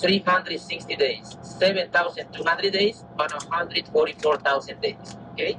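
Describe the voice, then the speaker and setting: Against noticeable background noise, a man with a high pitch speaks at a moderate pace with fairly even intonation. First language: Maya. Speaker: tour guide. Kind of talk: guided tour explanation.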